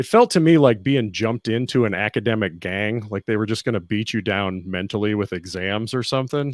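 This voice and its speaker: Using an ordinary speaking voice with an American accent, a man talks at a fairly quick pace. His pitch is fairly low with ordinary variation, and the sound is dry and close with no echo. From Kentucky, US. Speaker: physician assistant and army veteran. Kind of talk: interview.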